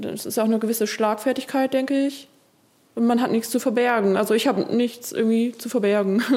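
A woman with an ordinary speaking voice talks at a fairly quick pace. Her pitch is fairly high and her intonation fairly even. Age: 30s. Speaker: contemporary dancer. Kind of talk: casual chat.

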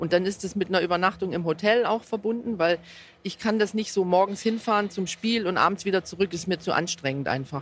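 At a fairly quick pace, a woman uses an unremarkable speaking voice with a medium pitch and ordinary pitch variation. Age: 50s. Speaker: football fan using a wheelchair. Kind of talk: interview. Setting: in a football stadium.

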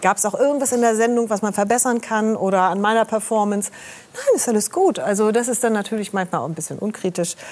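Speaking very fast, a woman can be heard through noticeable background noise. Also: fairly high pitch for a woman, ordinary pitch variation. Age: 60s. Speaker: medical journalist and TV presenter. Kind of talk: talk show interview.

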